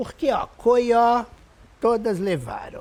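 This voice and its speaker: A woman's dark, mellow tone at a very slow pace. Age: 60s. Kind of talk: testimony.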